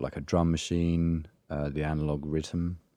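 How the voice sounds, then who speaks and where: A man's very deep, low voice, dark and mellow, flat and monotone at a fairly slow pace, on a very clean recording with a silent background. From Essex, England. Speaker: electronic music producer. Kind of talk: casual interview.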